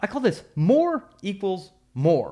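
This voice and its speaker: His tone is animated, with very wide pitch swings. The man is heard against a quiet background. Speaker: mortgage marketing coach. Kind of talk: software tutorial. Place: home room. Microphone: studio mic.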